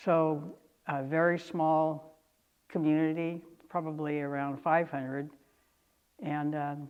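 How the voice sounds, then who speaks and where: In a flat monotone with an American accent, a woman with a very deep, low voice speaks very slowly, taking long, frequent pauses. Room echo is audible. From Northern California, Lake County. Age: 70s. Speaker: oral history interviewee. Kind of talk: oral history interview. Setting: auditorium. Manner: hesitant, many fillers.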